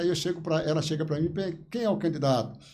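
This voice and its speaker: A man with a dark, mellow tone and a fairly high pitch speaks amid audible room echo. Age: 70s. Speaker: local politician. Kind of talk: interview.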